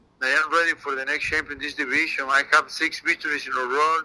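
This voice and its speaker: The speaker is a man with a Spanish accent. His tone is bright and sharp. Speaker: MMA fighter. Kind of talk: interview. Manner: halting, broken English.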